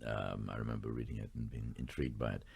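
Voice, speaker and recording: A man with an Irish accent talks very fast, his voice showing vocal fry. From Ireland. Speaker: stage actor. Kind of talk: radio interview.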